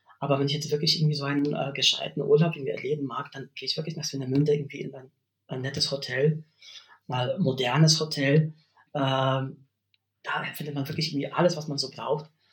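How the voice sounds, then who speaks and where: A man with a Polish accent talks at a fairly quick pace, his fairly high, somewhat breathy voice flat and monotone in intonation yet showing big swings in loudness. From Poland, West Pomerania. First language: Polish (speaking German). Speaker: university language lecturer. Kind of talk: interview conversation. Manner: hesitant, many fillers.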